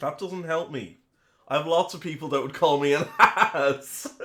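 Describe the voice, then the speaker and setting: A man with an Irish accent, fairly high in pitch, with lively intonation and a fairly slow pace. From Ireland. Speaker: streamer. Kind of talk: casual chat. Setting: live stream. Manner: chatty.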